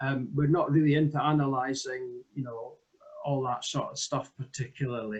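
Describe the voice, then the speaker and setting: A man speaks with a Scottish accent at a moderate pace. The background is quiet. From Scotland. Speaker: village hall volunteer administrator. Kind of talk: presentation demo. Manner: hesitant, many fillers. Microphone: video call.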